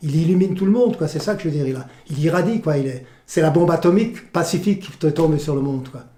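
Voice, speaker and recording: A dark, mellow tone moves at a very fast pace with ordinary pitch variation. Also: man. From France, Alsace (village near Gunsbach). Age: 70s. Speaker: volunteer museum guide, retired journalist. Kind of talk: interview testimony. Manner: animated, passionate; halting, repeats words.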